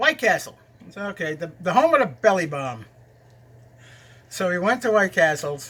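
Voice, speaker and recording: A man's high-pitched voice in a New York accent, bright and sharp in tone, with long, frequent pauses, big swings in loudness and very wide pitch swings. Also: moderate pace. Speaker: cooking video host. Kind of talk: casual storytelling and cooking chat. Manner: halting, with fillers.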